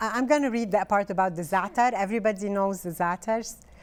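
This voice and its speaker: A woman with a Lebanese accent speaks with ordinary pitch variation. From northern Lebanon. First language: Arabic. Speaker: author. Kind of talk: interview. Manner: halting.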